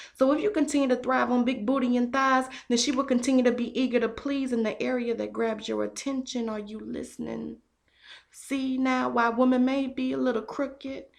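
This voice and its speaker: A woman's high-pitched voice, fairly even in intonation, at a moderate pace. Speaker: spoken word poet. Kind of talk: spoken word poetry performance.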